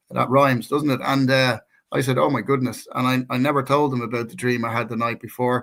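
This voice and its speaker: This man speaks at a medium pitch in an Irish accent, his tone bright and sharp. His pace is fairly quick and his intonation fairly even. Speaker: co-host, natural healer. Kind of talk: personal testimony in casual chat. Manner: halting, many repeated words.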